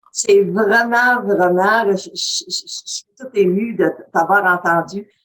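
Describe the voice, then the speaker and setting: A woman talks at a medium pitch with fairly even intonation. Her pace is very slow. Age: 80s+. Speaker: webinar participant. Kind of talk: testimony. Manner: halting.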